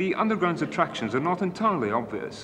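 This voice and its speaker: A man is speaking while noticeable background noise fills the recording. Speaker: presenter. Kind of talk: commentary. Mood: wry, ironic. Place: station.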